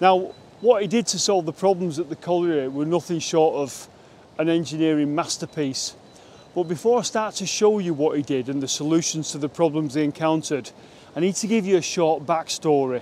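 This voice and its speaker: A dark, mellow tone comes at a fairly quick pace with ordinary pitch variation, the sound dry with no echo over light background noise. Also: man. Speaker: presenter. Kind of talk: casual vlog chat. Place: waterside.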